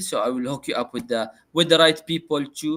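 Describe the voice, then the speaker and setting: On a very clean recording with a silent background, a man with a non-native accent speaks at a moderate pace in a fairly high, bright, sharp voice. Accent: non-native accent, noted by self. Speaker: podcast host. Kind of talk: casual chat. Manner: hesitant, many fillers.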